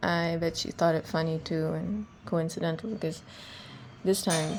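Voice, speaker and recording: This woman is soft-spoken, her pitch fairly low. She keeps a moderate pace. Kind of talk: personal voice diary, thinking out loud. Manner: casual, unscripted; soft, reflective.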